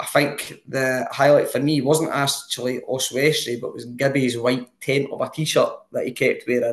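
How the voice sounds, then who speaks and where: The speaker, with a Scottish accent, keeps a moderate pace with hardly any pauses. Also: man. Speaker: football podcast co-host. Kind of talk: casual chat.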